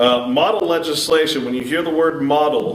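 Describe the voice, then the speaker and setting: Noticeable background noise and audible room echo surround a man who speaks at a moderate pace with fairly even intonation. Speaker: public speaker. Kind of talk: lecture. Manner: loud.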